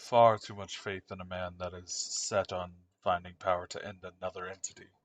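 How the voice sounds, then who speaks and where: In a put-on character voice, a man speaks at a moderate pace with a very deep, low pitch and monotone, flat intonation, his loudness swinging widely, in a dry, close sound with no echo and a quiet background. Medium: actual play. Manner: calm, grave, terse.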